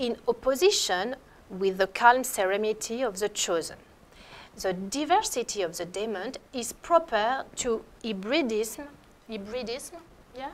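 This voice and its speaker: A woman with a French accent speaks at a fairly slow pace in a fairly high voice, with lively intonation and big swings in loudness. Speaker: art historian. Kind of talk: lecture. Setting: lecture hall in an abbey. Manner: halting.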